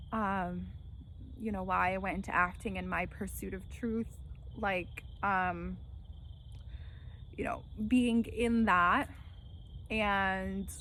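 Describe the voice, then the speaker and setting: A woman with an American accent at a very slow pace, with long, frequent pauses and audible room echo. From New Jersey / New York area. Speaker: actor and vlogger. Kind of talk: casual monologue vlog. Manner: clear enunciation; hesitant, many fillers.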